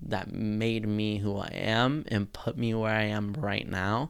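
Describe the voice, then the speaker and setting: A man talks at a fairly slow pace in a plain, everyday voice. His pitch sits fairly low, with fairly even intonation. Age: 20s. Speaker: podcast host. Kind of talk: solo podcast monologue.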